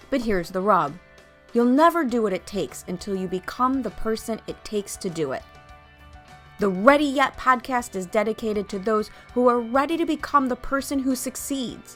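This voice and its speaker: A woman's fairly high voice with lively intonation over music in the background. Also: moderate pace. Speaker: business coach and podcast host. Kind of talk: podcast intro read.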